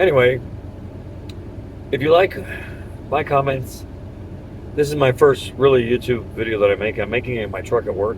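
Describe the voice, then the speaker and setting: A man of medium pitch speaks at a moderate pace with ordinary pitch variation and long, frequent pauses, over noticeable background noise. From US, Cuban immigrant family. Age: 60s. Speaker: political commentator vlogger. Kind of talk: political opinion monologue. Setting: in a truck at work. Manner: hesitant, many fillers.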